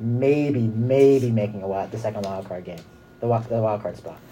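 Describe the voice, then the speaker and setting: Speaking at a moderate pace, a man has an unremarkable speaking voice with a medium pitch and fairly even intonation. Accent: American. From US West Coast, San Francisco Bay Area. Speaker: college radio co-host. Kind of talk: casual sports talk. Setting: studio.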